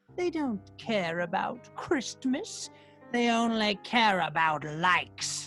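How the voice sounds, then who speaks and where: A put-on character voice, female-sounding and at a fairly high pitch, moves at a very slow pace with clear music in the background. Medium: read story.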